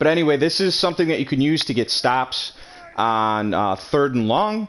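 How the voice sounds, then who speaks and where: Against noticeable background noise, a man with a fairly high pitch swings his pitch very widely while keeping his loudness very even. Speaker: video game tutorial creator. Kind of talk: tutorial. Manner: fast; hesitant, many fillers.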